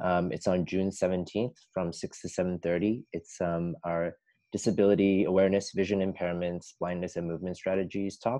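Hardly any pauses break the monotone, flat delivery, which runs at a moderate pace over a quiet background. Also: man, very deep, low pitch for a man. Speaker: physical therapy student moderator. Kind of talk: event moderation. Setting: video call. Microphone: video call.

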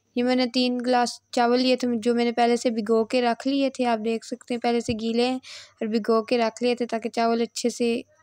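A woman with a high pitch talks at a moderate pace with monotone, flat intonation, very even loudness and hardly any pauses. The sound is dry with no echo, over a quiet background. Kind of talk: tutorial. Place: kitchen. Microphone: phone near.

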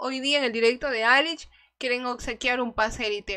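Her voice is high-pitched and animated, with ordinary pitch variation. The woman keeps a moderate pace against a quiet background. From Ecuador. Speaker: gaming streamer. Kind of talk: live gaming stream chat. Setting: livestream. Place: home room. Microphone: studio mic.

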